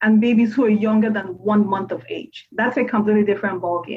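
Somewhat breathy and fairly high-pitched, a woman speaks very fast. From Nigeria. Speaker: pediatrician. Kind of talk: interview.

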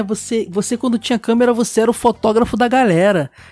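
With music in the background, a high-pitched man is heard in a dry, close sound with no echo. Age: 30s. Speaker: podcast host. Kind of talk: casual chat.

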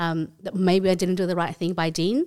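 In a very clean recording with a silent background, a woman with an Australian accent speaks at a medium pitch. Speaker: swingers club guest and mother. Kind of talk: casual interview chat.

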